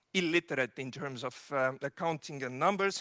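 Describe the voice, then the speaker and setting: With an Estonian accent, a man talks at a moderate pace in a bright, sharp tone, the sound dry and close with no echo and the background quiet. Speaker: digital governance expert. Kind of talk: keynote speech. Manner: halting, many fillers.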